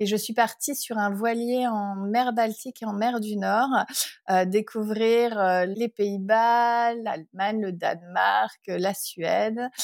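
Over a silent background in a very clean recording, a woman talks very slowly at a fairly high pitch with fairly even intonation. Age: 40s. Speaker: parent who travelled the world with family. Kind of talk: casual interview.

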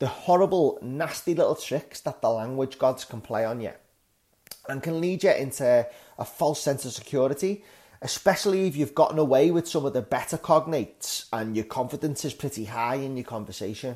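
A dark, mellow tone with ordinary pitch variation comes through in a Liverpool accent on a very clean recording with a silent background. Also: man, fairly high pitch for a man. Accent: Scouse (Liverpool). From northern England, Liverpool. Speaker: English teacher and podcast host. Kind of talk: language lesson podcast.

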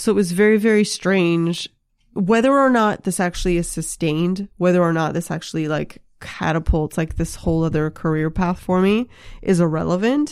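Speaking at a moderate pace on a very clean recording with a silent background, a woman uses a fairly low pitch with ordinary pitch variation. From New Brunswick, Canada (Moncton, French-speaking). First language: French. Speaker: stand-up comedian and screenwriter. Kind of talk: casual chat. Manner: animated, hyper.

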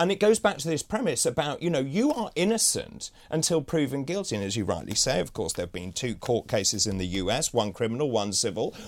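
A man's fairly high, vocal-fried voice in a British accent, very fast, with very wide pitch swings. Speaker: TV breakfast show host. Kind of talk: live TV news discussion, hosting interview. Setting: studio. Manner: formal, measured, broadcaster delivery.

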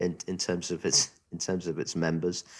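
The recording is very clean, with a silent background. A man speaks at a moderate pace in a very deep, low pitch, with a southern English accent. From southern England. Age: 50s. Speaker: special education school director. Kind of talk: interview.

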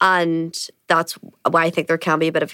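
In a Northern Irish accent, a woman speaks at a fairly quick pace with a fairly low pitch. The sound is dry and close with no echo, on a very clean recording with a silent background. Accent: Northern Irish (Tyrone). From Northern Ireland, County Tyrone. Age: 20s. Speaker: journalist. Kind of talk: casual chat. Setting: studio.

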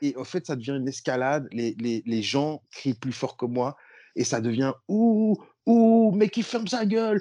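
A fairly high man's voice with a dark, mellow tone and very wide pitch swings, dry and close with no echo, against a quiet background. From Belgium. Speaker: comedian. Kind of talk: casual chat.

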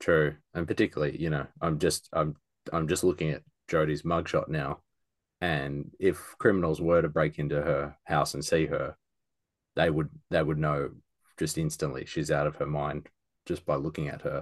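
Against a quiet background, a man with an Australian accent and a very deep, low pitch speaks at a moderate pace in a monotone, flat way. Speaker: podcast co-host. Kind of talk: casual chat. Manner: halting, with many repeated words and fillers.

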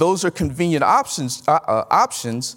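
In a Southern US accent, a man talks at a moderate pace with lively intonation. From Mississippi. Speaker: pastor. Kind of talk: conference talk. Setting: stage with audience.

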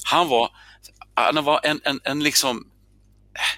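A man is speaking. His tone is bright and sharp. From Stockholm, Sweden. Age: 60s. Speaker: fiber association organizer, former teacher. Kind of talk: casual interview conversation.

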